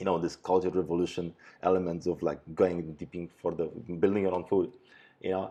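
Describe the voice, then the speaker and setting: A man with a Polish accent, very deep and low in pitch, dark and mellow in tone. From Poland. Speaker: podcast host. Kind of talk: casual chat. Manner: halting.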